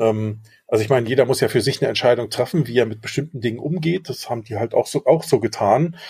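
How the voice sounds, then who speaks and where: Talking at a very fast pace, a man has a somewhat breathy, dark, mellow tone, medium pitch and ordinary pitch variation. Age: 50s. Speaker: podcast co-host, father. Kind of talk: casual chat.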